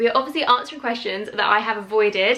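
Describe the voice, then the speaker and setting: A woman with a British accent speaks at a fairly high pitch with fairly even intonation. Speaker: YouTuber. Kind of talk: casual chat.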